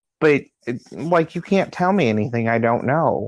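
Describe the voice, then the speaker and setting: Against a quiet background, a man with an ordinary speaking voice talks at a moderate pace with ordinary pitch variation and a dry, close sound with no echo. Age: 30s. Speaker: drag performer and activist. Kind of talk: interview.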